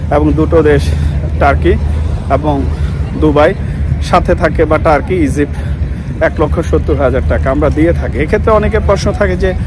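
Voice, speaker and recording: Over crowd noise in the background, a man speaks in a very deep, low, monotone voice with a dry sound and no echo. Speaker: travel vlogger. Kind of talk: casual vlog chat. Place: street. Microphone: phone near.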